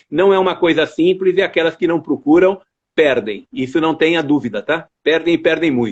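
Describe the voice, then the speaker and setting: Lively in his intonation, a man speaks at a moderate pace. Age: 60s. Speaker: university rector. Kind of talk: interview.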